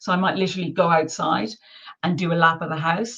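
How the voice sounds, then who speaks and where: A woman's voice is somewhat breathy and sits at medium pitch. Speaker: well-being coach. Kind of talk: webinar talk. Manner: animated.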